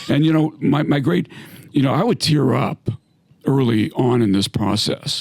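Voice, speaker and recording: A man talks at a fairly slow pace, recorded with a dry, close sound and no echo. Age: 60s. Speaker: retired navy submarine captain. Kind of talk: casual chat. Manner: halting.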